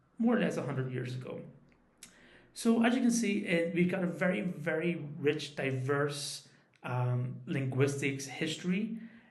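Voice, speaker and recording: A man talks at a fairly slow pace with a fairly high pitch and lively intonation. Audible room echo and noticeable background noise fill the recording. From Northern Ireland, West Belfast. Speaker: guest speaker on Irish English. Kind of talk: recorded talk to a class. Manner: casual, hesitant with fillers.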